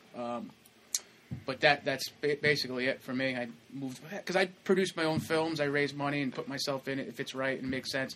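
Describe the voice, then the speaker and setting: This man has an unremarkable speaking voice and a fairly high pitch with ordinary variation. He moves along at a fairly quick pace. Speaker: actor. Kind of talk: casual chat. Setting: studio. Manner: jokey, laughs often.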